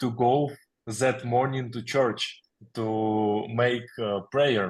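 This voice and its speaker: A man with a Ukrainian accent talks at a very slow pace, his pitch varying in an ordinary way. The background is quiet. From Ukraine, Kyiv. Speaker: military chaplain. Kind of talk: testimony. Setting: video call. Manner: halting, many fillers.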